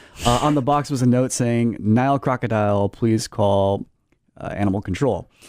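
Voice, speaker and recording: With a plain, everyday voice, a man speaks at medium pitch with ordinary pitch variation in a very clean recording with a silent background. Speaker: radio news editor and reporter. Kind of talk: radio interview, news report as guest on talk show.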